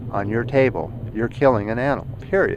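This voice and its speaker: The man speaks with a medium pitch and ordinary pitch variation. Noticeable background noise runs through the clip. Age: 60s. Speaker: YouTuber. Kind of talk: vlog commentary. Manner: halting, with frequent fillers.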